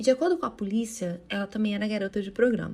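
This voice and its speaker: A woman speaks in a fairly high, somewhat breathy voice. Her intonation is lively. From Brazil, Rio de Janeiro state (Itaguaí). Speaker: true crime podcaster. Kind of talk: true crime storytelling podcast. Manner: casual, conversational.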